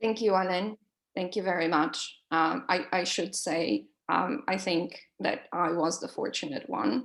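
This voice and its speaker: Speaking at a fairly slow pace, a woman with a non-native accent uses lively intonation at a medium pitch. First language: not English. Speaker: professor. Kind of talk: panel moderation. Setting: online webinar. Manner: hesitant, many fillers.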